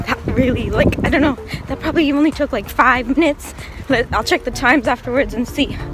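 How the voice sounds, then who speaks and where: The speech moves at a fairly quick pace. Noticeable background noise sits underneath. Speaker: vlogger. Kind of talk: casual vlog. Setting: public places, store and IKEA.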